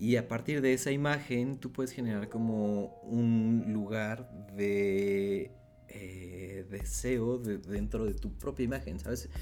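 The pace is very slow, with ordinary pitch variation. A dark, mellow tone comes through. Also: man. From Mexico, Puebla. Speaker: illustrator. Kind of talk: casual chat.

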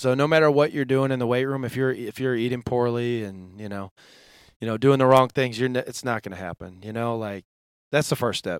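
A man with an American accent and a normal speaking voice, at a fairly quick pace with ordinary pitch variation, dry and close with no echo, on a very clean recording with a silent background. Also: medium pitch for a man. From Western New York. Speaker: NFL strength and conditioning coach. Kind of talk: podcast interview. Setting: studio.

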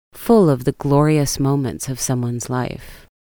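A woman with an American accent, a very deep, low pitch, a dark, mellow tone and a moderate pace. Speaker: art podcast host. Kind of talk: scripted narration.

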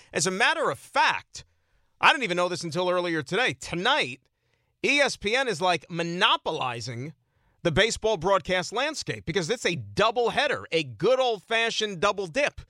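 A man's raised, projected voice, high-pitched with a bright, sharp tone and very wide pitch swings at a moderate pace, dry and close with no echo on a very clean recording with a silent background. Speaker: sports radio host. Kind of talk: sports talk radio. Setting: studio. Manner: animated.

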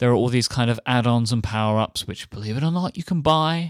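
Recorded dry and close with no echo, a man speaks in an English accent. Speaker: podcast host. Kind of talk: casual chat; sponsor read. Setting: remote recording.

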